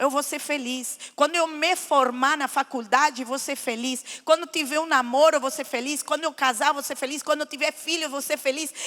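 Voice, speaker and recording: Pitched high, a woman raises and projects her voice with a bright, sharp tone. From Lebanon, raised in Argentina. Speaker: guest speaker giving testimony. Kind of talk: testimony. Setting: church.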